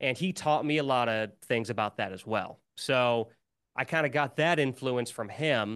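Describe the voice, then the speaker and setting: A man with an American accent talks in a plain, everyday voice at a moderate pace and medium pitch, with ordinary pitch variation against a quiet background. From US Midwest. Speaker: musician and YouTuber. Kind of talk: casual interview chat.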